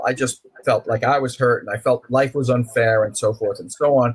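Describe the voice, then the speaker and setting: Somewhat breathy, a man with an American accent talks at medium pitch and a moderate pace, with ordinary pitch variation. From New York (Brooklyn). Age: 60s. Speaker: author. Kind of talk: interview.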